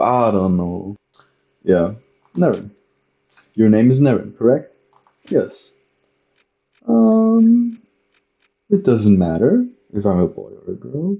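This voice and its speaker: A man with a non-native accent and a dark, mellow tone speaks with very wide pitch swings and long, frequent pauses. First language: not English. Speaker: gaming youtuber. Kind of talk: let's play commentary. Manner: halting.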